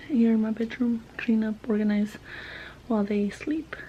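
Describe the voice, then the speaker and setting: Amid noticeable background noise, a woman with a fairly high pitch talks at a moderate pace in a monotone, flat manner. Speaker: vlogger. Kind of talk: casual vlog. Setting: in a car.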